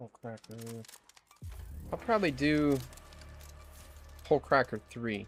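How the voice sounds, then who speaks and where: Over background music, a man with a medium pitch and a relaxed tone talks at a moderate pace, his intonation lively and his pauses long and frequent. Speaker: gaming streamer. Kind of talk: casual chat. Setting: live stream.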